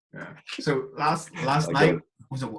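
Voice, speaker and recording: A man speaks with music playing in the background. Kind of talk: podcast host talk.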